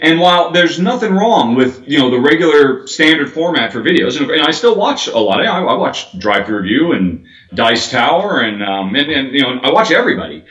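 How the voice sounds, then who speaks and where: In an American accent, the speaker talks with hardly any pauses and very wide pitch swings, over noticeable background noise. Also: man, fairly high pitch for a man, fairly quick pace. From United States. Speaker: board game video reviewer. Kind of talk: interview. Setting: video call. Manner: fast.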